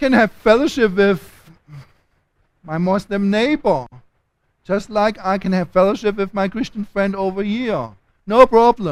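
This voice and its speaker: A man with a German accent and a high pitch talks at a fairly slow pace with long, frequent pauses. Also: ordinary pitch variation. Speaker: theology lecturer. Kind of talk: lecture.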